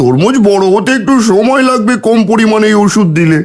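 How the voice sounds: A man puts on a cartoonish character voice. He uses a high pitch at a moderate pace.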